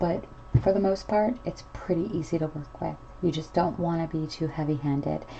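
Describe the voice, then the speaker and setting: A soft-spoken woman talks at a moderate pace, her fairly low pitch carried on fairly even intonation. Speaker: miniature crafter. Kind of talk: tutorial. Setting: home at night. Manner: casual.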